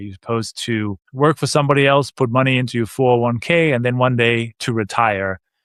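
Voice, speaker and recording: Someone with a slight Danish accent talks at a fairly quick pace. The recording is very clean with a silent background, and the sound is dry and close with no echo. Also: man. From Denmark. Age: 50s. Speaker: real estate investor. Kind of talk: podcast interview.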